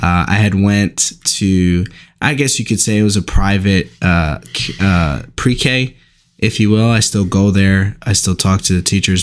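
A man with an American accent speaks at a moderate pace in a fairly low pitch, with an unremarkable speaking voice, fairly even intonation, and very even loudness. The recording is very clean with a silent background. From Newark, New Jersey, US. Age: 20s. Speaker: Bible college student and aspiring pastor. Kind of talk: casual chat.

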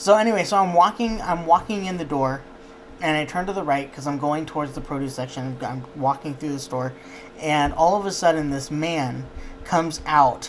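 Fairly high in pitch, a man talks at a moderate pace with ordinary pitch variation. Noticeable background noise is present. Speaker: podcast co-host.

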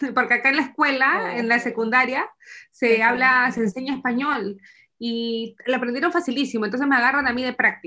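Her voice is high for a woman, bright and sharp in tone, moving at a fairly quick pace with fairly even intonation. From Peru, Lima. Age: 30s. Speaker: immigrant mother. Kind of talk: interview.

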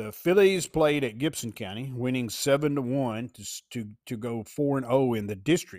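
A man speaks in a Southern US accent at a medium pitch. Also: ordinary pitch variation, moderate pace, very clean recording, silent background. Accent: Southern US country. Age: old. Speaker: sports writer and podcast host. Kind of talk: casual monologue. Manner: rambling with frequent fillers.

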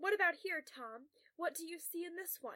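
A woman performs a put-on character voice at an extremely high pitch. Her tone is bright and sharp, and her intonation is lively. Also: moderate pace.

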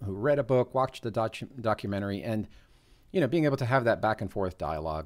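A man with an ordinary speaking voice and fairly low pitch talks with ordinary pitch variation in a very clean recording with a silent background. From US, northern New Jersey. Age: 40s. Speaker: podcast co-host. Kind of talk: casual chat.

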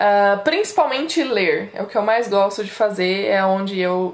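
A woman with a fairly high pitch talks at a very slow pace amid noticeable background noise. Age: 30s. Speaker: podcast co-host, secretary. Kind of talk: casual chat.

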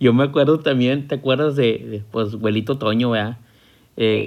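Using an ordinary speaking voice, a man talks with a medium pitch and at a moderate pace. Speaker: podcast host. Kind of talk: casual chat.

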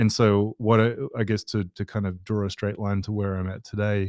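In a very clean recording with a silent background and a dry, close sound with no echo, a man with an Australian accent talks fairly quickly at a fairly low pitch with monotone, flat intonation. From Western Australia (Perth). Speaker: product manager. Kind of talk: interview. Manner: hesitant, many fillers.

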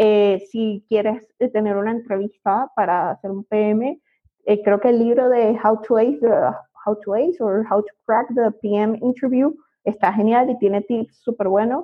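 A woman's fairly high voice in a Venezuelan accent, fairly slow, with ordinary pitch variation. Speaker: product manager. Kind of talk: interview. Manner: hesitant, many fillers.

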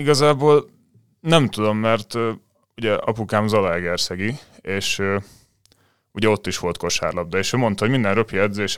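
An unremarkable speaking voice from a man, pitched fairly low, with ordinary pitch variation. He talks at a moderate pace in a very clean recording with a silent background. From Hungary, Dunaújváros. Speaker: volleyball player and law student. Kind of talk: casual interview.

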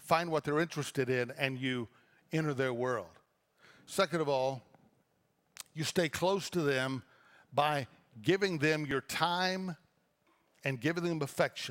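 In a very clean recording with a silent background, a man with a fairly high pitch speaks at a moderate pace, using ordinary pitch variation and long, frequent pauses. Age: 60s. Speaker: pastor. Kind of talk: sermon. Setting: church.

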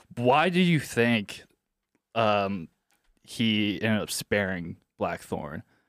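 A man with an American accent speaks very slowly, with long, frequent pauses. His fairly low voice carries lively intonation. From US Midwest, Indiana. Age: 20s. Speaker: podcast producer filling in as co-host. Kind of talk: casual chat. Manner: halting, many false starts and fillers.

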